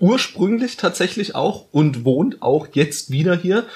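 Speaking at a very slow pace, a man uses lively intonation. His voice rises and falls freely. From Bavaria, Bayreuth (Upper Franconia). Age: 20s. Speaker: podcast host, journalist. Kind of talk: casual chat.

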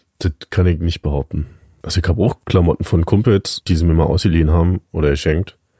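A very deep, low male voice, dark and mellow and somewhat breathy, at a very fast pace with ordinary pitch variation, very even loudness, and a dry, close sound with no echo. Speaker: podcast co-host. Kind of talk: casual chat. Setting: home attic.

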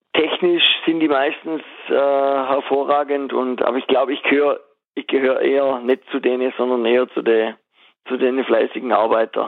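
An unremarkable speaking voice from a man, fairly high in pitch, at a moderate pace with fairly even intonation. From Swabia, southwest Germany. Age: 30s. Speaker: former wrestler and wrestling coach, master butcher. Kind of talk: casual interview.

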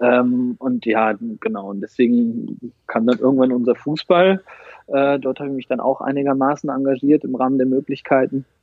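Using an ordinary speaking voice, a man talks at a medium pitch and moderate pace with ordinary pitch variation. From East Westphalia, Germany. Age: 30s. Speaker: football fan representative. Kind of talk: interview.

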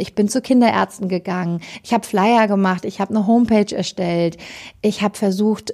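With vocal fry and a dark, mellow tone, a woman speaks at a medium pitch and a fairly quick pace with fairly even intonation.

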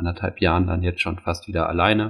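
A man speaks in a very deep, low voice that is somewhat breathy. His intonation stays monotone and flat. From Hamburg, northern Germany. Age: 30s. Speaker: floorball coach. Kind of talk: interview. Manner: hesitant, many fillers.

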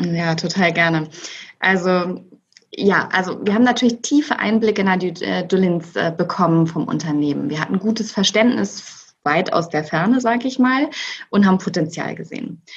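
With lively intonation, an unremarkable speaking voice holds a moderate pace. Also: woman, medium pitch for a woman. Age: 40s. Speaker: managing director. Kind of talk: interview.

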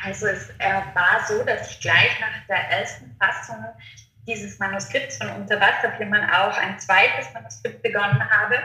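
At a moderate pace, a woman talks amid audible room echo and noticeable background noise. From Austria, Innsbruck, Tyrol. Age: 30s. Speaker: novelist and publishing concept developer. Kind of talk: interview. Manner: hesitant, many fillers.

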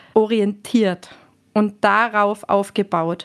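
The background is quiet while a woman's fairly high voice carries fairly even intonation. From Austria, Tyrol. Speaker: hotel manager. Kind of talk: interview.

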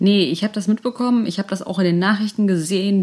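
Ordinary pitch variation, a very fast pace, and a dark, mellow tone. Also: woman. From Germany, North Rhine-Westphalia. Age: 30s. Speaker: podcast co-host. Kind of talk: casual chat.

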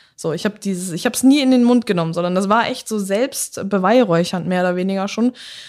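A woman speaks at a fairly quick pace with hardly any pauses, her medium pitch showing ordinary variation in a normal speaking voice. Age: 20s. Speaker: former footballer, police officer. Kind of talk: casual interview.

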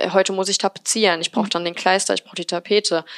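Her intonation stays monotone and flat. The speaker is a woman. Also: dry, close sound with no echo. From Remscheid, western Germany. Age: 20s. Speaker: painter and decorator. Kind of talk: interview.

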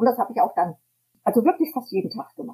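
A woman's dark, mellow, somewhat breathy voice moves through very wide pitch swings. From Hesse, Germany. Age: 70s. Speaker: tour guide and self-employed entrepreneur. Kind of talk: interview. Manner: hesitant with many fillers.

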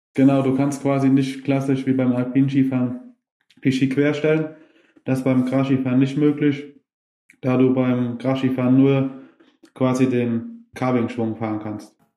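A man talks slowly with long, frequent pauses, his medium-pitched voice dark and mellow in tone. His intonation is monotone and flat, and the room echo is audible. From Germany, Westerwald. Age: 20s. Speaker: grass skiing athlete. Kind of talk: interview. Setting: video call.

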